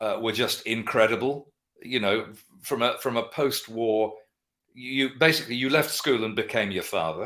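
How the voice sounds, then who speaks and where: Medium pitch from a man with a bright, sharp tone, on a very clean recording with a silent background. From London, England. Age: 60s. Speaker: guitarist and vintage guitar dealer. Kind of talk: interview. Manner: fast.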